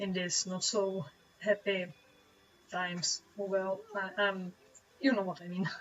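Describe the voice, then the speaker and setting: Medium-pitched woman in a Czech accent, fairly slow and monotone, with flat intonation and long, frequent pauses. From Czech Republic. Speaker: webcomic artist streamer. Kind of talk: live stream chat while drawing. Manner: halting, many fillers.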